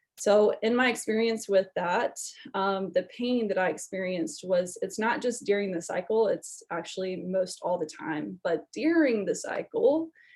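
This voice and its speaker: This woman has an unremarkable speaking voice at a medium pitch. She goes at a moderate pace. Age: 20s. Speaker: wellness testimonial speaker. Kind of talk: personal testimony.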